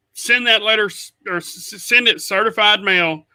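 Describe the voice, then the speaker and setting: Projecting his raised voice in an Oklahoma accent, a man speaks at a moderate pace with a bright, sharp tone and ordinary pitch variation. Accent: Oklahoma rural US South-Midland. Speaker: podcast co-host. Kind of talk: casual chat. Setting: live stream. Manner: animated.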